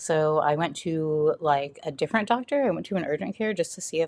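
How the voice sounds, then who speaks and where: Speaking at a fairly quick pace in an American accent, a woman has a normal speaking voice, fairly low in pitch, with ordinary pitch variation. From US South. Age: 30s. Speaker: cancer patient sharing her story. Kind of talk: interview. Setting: podcast interview.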